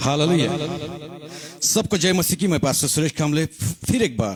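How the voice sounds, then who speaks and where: The man speaking has a fairly high pitch. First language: Marathi (speaking Hindi). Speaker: pastor. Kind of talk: sermon. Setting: online live broadcast. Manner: halting.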